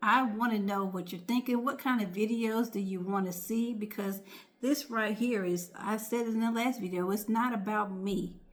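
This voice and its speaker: The voice is somewhat breathy and keeps a moderate pace. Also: woman. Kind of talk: casual vlog talk. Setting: home at night, others asleep. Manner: soft-spoken, near whisper.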